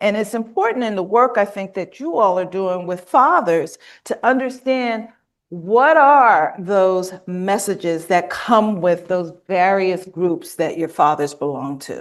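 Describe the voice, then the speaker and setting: A woman with an American accent speaks in a normal speaking voice at a medium pitch, her intonation lively and her pace fairly slow against a quiet background. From US South, Mississippi. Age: 60s. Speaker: workshop trainer. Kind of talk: conference workshop presentation. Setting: conference room with live and online audience.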